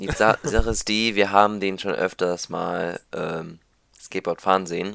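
Fairly low in pitch, a man speaks at a fairly slow pace in a bright, sharp tone with fairly even intonation. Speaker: podcast co-host. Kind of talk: casual chat. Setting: home recording at PC. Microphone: new microphone.

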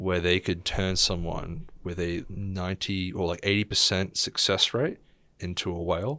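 Recorded very cleanly against a silent background, a man speaks with an Australian accent. His very deep, low voice has a bright, sharp tone and fairly even intonation. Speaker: guest. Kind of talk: casual chat.

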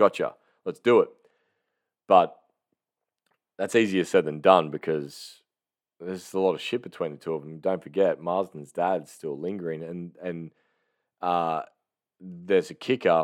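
A man with an Australian accent, very deep, low pitch, fairly even intonation, a moderate pace, long, frequent pauses and big swings in loudness. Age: 30s. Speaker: movie review podcaster. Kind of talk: casual solo monologue. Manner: halting, many fillers and restarts.

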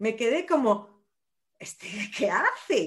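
A woman speaks at a fairly slow pace with very wide swings in pitch against a quiet background. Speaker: nurse and running coach. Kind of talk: casual interview.

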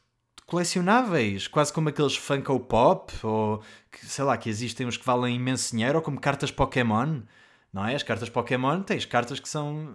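A man with a European Portuguese accent speaks at a moderate pace, his medium-pitched voice rising and falling in a lively way. The recording is very clean, with a silent background. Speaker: podcast host, artist. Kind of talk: casual solo monologue. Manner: hesitant, with many fillers.

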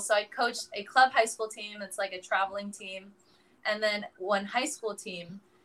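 A fairly high-pitched woman with an American accent speaks at a moderate pace with fairly even intonation, in an unremarkable speaking voice. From US, San Francisco area. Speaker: professional volleyball player. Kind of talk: casual interview.

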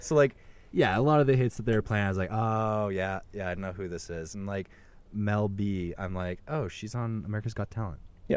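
In a very clean recording with a silent background, a man with a fairly low pitch talks at a fairly quick pace in an ordinary speaking voice with ordinary pitch variation. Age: 20s. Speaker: podcast co-host. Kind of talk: casual chat. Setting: working from home.

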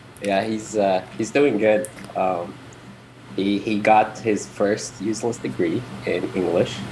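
Speaking at a very slow pace, a man uses a fairly low pitch with ordinary pitch variation. Noticeable background noise runs under his voice. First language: Arabic. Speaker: IT worker, old friend of host. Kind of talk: casual chat. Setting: video call.

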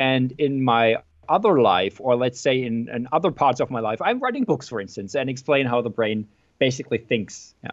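At a moderate pace, a man with a German accent talks in a medium pitch with ordinary pitch variation. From Germany. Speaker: neuroscientist and author. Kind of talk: interview. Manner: hesitant, many fillers and repeats.

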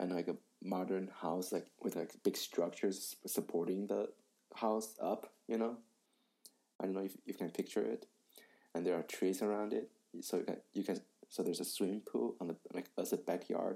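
Very deep and low, a man's dark, mellow voice carries vocal fry and ordinary pitch variation at a moderate pace, broken by long, frequent pauses. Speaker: podcast co-host. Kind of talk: casual chat.

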